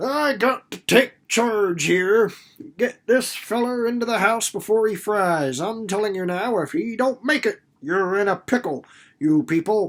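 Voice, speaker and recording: In a put-on character voice with a rural American accent, a man sounds gruff and wheezy at a high pitch, using lively intonation at a moderate pace on a very clean recording with a silent background. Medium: read story. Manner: gruff, blustering, folksy dialect.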